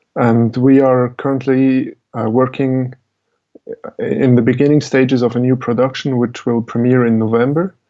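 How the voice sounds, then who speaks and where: Speaking at a moderate pace, a man with a Swiss German accent keeps a medium pitch and a monotone, flat intonation. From Switzerland. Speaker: musician and media artist. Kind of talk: interview.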